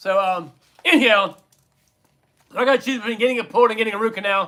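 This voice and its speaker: In an American accent, the voice is raised and projected, with a bright, sharp tone and an animated, playful delivery. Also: man. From United States. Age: 50s. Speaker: livestream trivia host. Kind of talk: casual livestream trivia chat.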